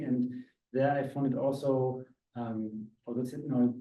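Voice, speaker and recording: A man with a German accent at medium pitch and a moderate pace. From Austria. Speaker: visiting academic speaker. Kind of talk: casual discussion. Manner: halting, many fillers.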